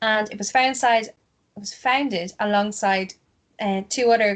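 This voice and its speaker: At a moderate pace, a woman with a medium pitch speaks in fairly even intonation. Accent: Ulster. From Ulster, Ireland. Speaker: podcast host. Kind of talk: casual chat.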